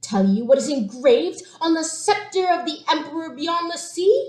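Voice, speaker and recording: Shrill put-on character voice from a woman, pitched extremely high, at a moderate pace. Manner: imperious, taunting.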